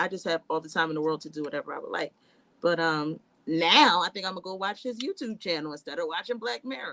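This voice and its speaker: A woman with a fairly low pitch speaks very fast, with lively intonation and a bright, sharp tone. Her loudness rises and falls sharply. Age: 30s. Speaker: nursing student and nurse. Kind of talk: casual chat.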